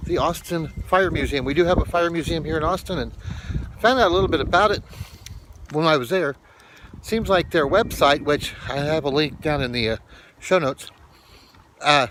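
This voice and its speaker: With long, frequent pauses, a man talks at a fairly quick pace, his pitch fairly high and its variation ordinary. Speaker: vlogger. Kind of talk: casual vlog talk.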